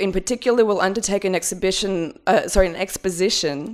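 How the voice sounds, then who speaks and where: A woman with an Australian accent speaks at a medium pitch. The recording is very clean, with a silent background. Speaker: curator and researcher. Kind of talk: academic conference talk. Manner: fast; halting, many fillers.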